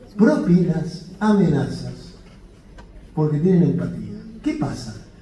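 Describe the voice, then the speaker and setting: Fairly slow delivery from a man, audible room echo around him. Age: 60s. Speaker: physician lecturer. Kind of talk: lecture. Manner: halting.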